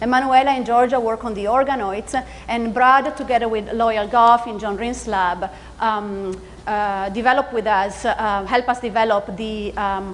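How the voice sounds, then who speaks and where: A woman speaks in a fairly high voice. Audible room echo surrounds her. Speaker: neuroscience professor. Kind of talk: lecture. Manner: fast; hesitant, many fillers.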